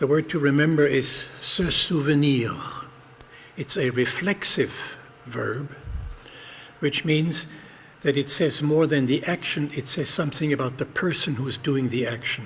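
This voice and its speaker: A man with a German accent speaks at a fairly high pitch, somewhat breathy, with fairly even intonation. His pace is fairly slow, broken by long, frequent pauses. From Germany. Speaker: speaker at a memorial event. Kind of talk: speech at a memorial ceremony. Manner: formal.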